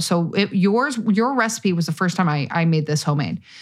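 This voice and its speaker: A woman talks with an American accent in an unremarkable speaking voice. Her intonation is lively and her pace moderate. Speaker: podcast host. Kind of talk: casual chat.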